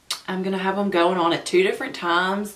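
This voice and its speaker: With a Southern US accent, a woman speaks at medium pitch with fairly even intonation amid noticeable background noise and audible room echo. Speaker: beauty vlogger. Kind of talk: makeup first-impressions vlog. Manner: stumbling.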